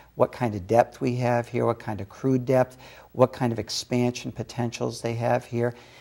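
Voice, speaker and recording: A man speaks with an American accent at medium pitch and a moderate pace. His tone is dark and mellow, his intonation fairly even. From Massachusetts. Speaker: film studio executive. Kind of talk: TV talk show interview. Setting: studio.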